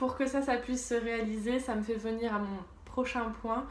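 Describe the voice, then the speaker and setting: A woman speaks in a fairly high pitch with monotone, flat intonation. Audible room echo surrounds her voice. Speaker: YouTuber, drawing and lifestyle vlogger. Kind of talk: casual vlog monologue. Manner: unscripted, hesitant with fillers.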